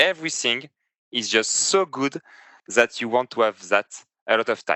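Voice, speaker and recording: This man speaks with a French accent. His pitch is medium and his pace moderate. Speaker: competitive tabletop game player. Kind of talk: casual chat. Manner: halting.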